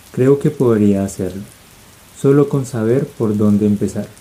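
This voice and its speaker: This man talks at a fairly slow pace. His pitch sits in the medium range and varies in an ordinary way. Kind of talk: audiobook-style ASMR reading. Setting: rain ambience in the background. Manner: soft, relaxing, sleep-inducing.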